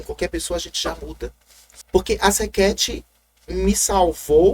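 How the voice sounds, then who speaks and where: A man with a Maranhão accent speaks in an animated tone at a moderate pace. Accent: Maranhão accent, sing-song. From Maranhão, northeastern Brazil. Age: 40s. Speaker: city councillor, former drag performer and radio host. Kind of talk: interview.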